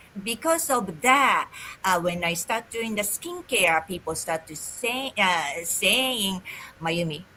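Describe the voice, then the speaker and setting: Speaking very slowly with a Japanese accent, a woman uses lively intonation at a medium pitch. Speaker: holistic esthetician and business coach. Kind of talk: interview.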